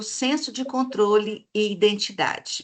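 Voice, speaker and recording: Her pitch is fairly high for a woman. She speaks with ordinary pitch variation. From Minas Gerais, Brazil. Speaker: researcher presenting her model. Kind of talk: online presentation / live stream. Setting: live video stream. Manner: hesitant fillers (eh, né).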